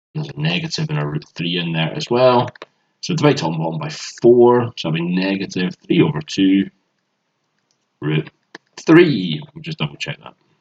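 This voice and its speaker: A man with a Glaswegian accent at a moderate pace and fairly low pitch, with very wide pitch swings, big swings in loudness and long, frequent pauses, in a dry, close sound with no echo. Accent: Glaswegian Scottish. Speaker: maths tutor. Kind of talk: tutorial.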